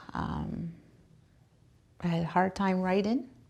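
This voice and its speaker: At a fairly slow pace, a woman speaks with a Maritime Canadian accent. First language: Mi'kmaq. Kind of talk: personal testimony. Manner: halting, with fillers.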